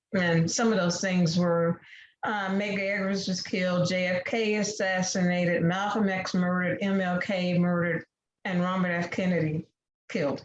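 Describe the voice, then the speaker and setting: With an American accent, a woman speaks at a medium pitch and moderate pace in a somewhat breathy voice with monotone, flat intonation. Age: 60s. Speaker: debate panelist. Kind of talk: prepared debate speech.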